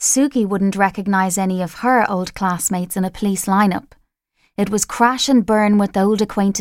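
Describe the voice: In a plain reading aloud with fairly even intonation, the voice comes over a quiet background.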